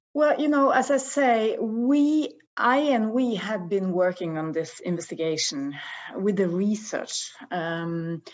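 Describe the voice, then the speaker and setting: The speaker has a Norwegian accent and talks at a very slow pace. Pitch swings are very wide. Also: woman, fairly high pitch for a woman. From northern Norway. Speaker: investigative TV journalist. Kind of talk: interview.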